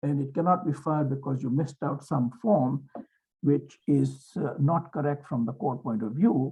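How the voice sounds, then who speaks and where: This man has a non-native accent and a fairly high pitch, speaking at a moderate pace with ordinary pitch variation. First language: not English. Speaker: lawyer and legal mentor. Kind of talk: seminar talk.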